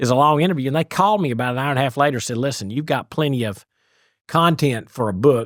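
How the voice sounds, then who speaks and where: On a very clean recording with a silent background, a man with an East Tennessee accent talks at a very fast pace, medium in pitch, with lively intonation. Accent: Southern (East Tennessee). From East Tennessee, US South. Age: 60s. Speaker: business author and CEO. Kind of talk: podcast interview storytelling.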